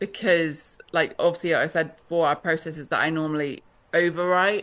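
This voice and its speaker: A woman with a British accent speaks at a fairly low pitch. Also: fairly quick pace. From Britain. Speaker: author. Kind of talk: interview. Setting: podcast interview.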